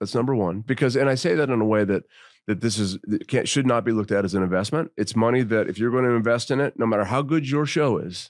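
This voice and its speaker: With an ordinary speaking voice, a man at medium pitch and with ordinary pitch variation talks at a fairly quick pace in a very clean recording with a silent background. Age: 50s. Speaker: rock singer-songwriter. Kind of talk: casual chat. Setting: studio.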